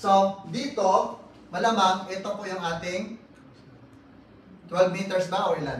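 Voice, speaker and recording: A loud man with a high pitch and an animated tone talks at a fairly slow pace amid audible room echo and noticeable background noise. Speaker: architecture lecturer. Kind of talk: lecture.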